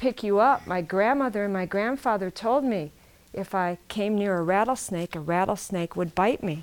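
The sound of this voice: Unforced voice, reading.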